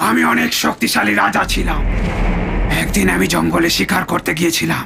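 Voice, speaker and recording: A man puts on a cartoonish character voice with a menacing tone, speaking at a moderate pace over clear background noise. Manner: menacing, brooding.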